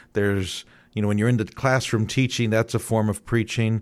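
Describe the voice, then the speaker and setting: A fairly quick delivery with a Midwestern American accent, on a very clean recording with a silent background. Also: man. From Northeast Ohio, Youngstown. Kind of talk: radio interview. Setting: radio studio.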